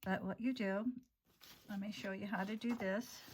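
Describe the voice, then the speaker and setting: Her voice has a somewhat breathy quality. The woman talks at a moderate speed. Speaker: art therapy instructor. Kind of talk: tutorial. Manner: casual, halting.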